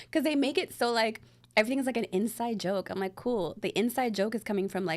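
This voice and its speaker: A woman at a fairly high pitch and a very fast pace. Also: ordinary pitch variation. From Bangladesh. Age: 30s. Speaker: actress and writer. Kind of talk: casual chat.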